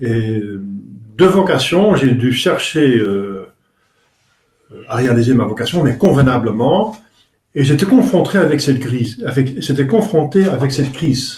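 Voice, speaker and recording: A man speaks at a fairly slow pace with lively intonation. He leaves long, frequent pauses. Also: medium pitch for a man. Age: 60s. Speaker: priest. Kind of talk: religious talk. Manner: halting.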